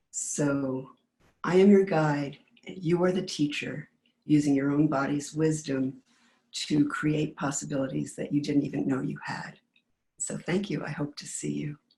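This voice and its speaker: A woman speaks with a very deep, low pitch, a dark, mellow tone and vocal fry, at a fairly slow pace with long, frequent pauses. Her pitch variation is ordinary, and her loudness swings widely. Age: 70s. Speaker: movement class instructor. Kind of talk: class preview talk. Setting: webinar.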